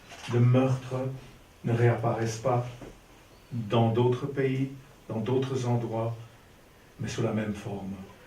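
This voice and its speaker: Someone talks at a very slow pace in a monotone, flat intonation, with long, frequent pauses. The room echo is audible. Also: man, medium pitch for a man. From Belgium, Ostend. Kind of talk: improvised speech.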